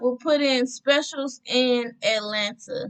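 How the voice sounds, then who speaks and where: A woman speaks loudly at a high pitch and a very slow pace, her intonation fairly even. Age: 20s. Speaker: travel vlogger. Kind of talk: tutorial.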